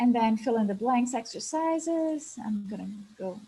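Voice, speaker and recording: A woman speaks with an Italian accent in a dark, mellow tone. Her delivery is somewhat breathy, with lively intonation. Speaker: English teacher and webinar presenter. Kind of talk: webinar presentation.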